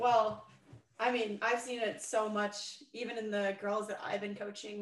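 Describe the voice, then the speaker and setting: A woman speaks at a moderate pace with monotone, flat intonation. Her pitch is fairly high, and there is noticeable background noise. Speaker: podcast host and pro hockey player. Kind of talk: casual interview.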